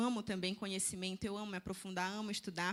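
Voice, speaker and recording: Sounding animated, a woman speaks with a slight northern Brazilian accent. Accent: northern Brazilian (Pará), slight. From Brazil, Belém do Pará. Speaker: nutritionist and church speaker. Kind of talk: seminar talk.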